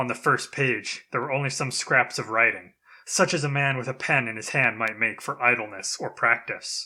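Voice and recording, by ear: A passage read aloud in a natural voice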